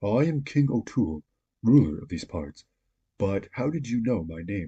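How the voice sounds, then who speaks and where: A man's put-on character voice at medium pitch and moderate pace, with very wide pitch swings and big swings in loudness. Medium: read story.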